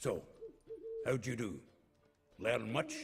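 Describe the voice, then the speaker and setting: Music plays behind a raspy, put-on character voice. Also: man, medium pitch for a man. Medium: video game. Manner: hearty, joking.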